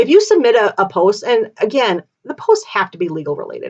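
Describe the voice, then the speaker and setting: A woman speaks with lively intonation. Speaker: legal commentary streamer. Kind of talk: live stream legal discussion. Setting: live stream. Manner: fast; casual, halting with fillers.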